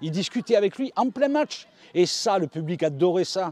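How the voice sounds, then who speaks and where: A man speaks at a moderate pace in a dark, mellow tone with ordinary pitch variation, recorded dry and close with no echo. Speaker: football radio commentator. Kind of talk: interview.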